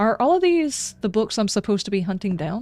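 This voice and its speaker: A woman with a dark, mellow tone speaks at a very fast pace, with lively intonation at a medium pitch. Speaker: video game streamer. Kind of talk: live game stream commentary with reading aloud. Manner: casual, conversational.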